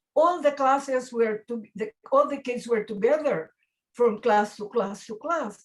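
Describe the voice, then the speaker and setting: The speech runs at a fairly slow pace, with ordinary pitch variation and big swings in loudness. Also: woman, high pitch for a woman. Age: 80s+. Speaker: retired English teacher. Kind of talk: interview.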